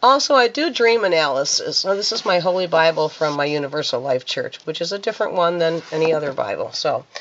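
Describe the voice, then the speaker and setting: A woman talks at a fairly quick pace with lively intonation. Noticeable background noise runs underneath. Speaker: minister and spiritual hobbyist vlogger. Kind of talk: casual show-and-tell vlog. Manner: hesitant, with fillers.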